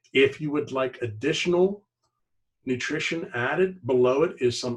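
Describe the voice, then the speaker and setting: A man speaks at medium pitch with ordinary pitch variation. His voice is somewhat breathy, and his pace is moderate. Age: 60s. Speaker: network marketing distributor. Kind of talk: sales pitch. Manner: casual.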